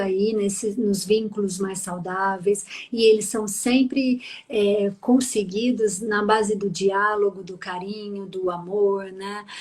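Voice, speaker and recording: Speaking very slowly in a Minas Gerais accent, a woman keeps a monotone, flat intonation over noticeable background noise. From Minas Gerais, Brazil. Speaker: psychologist. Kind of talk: live stream interview.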